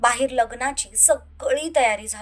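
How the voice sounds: At a moderate pace, a woman speaks with a fairly high pitch. Her pitch variation is ordinary.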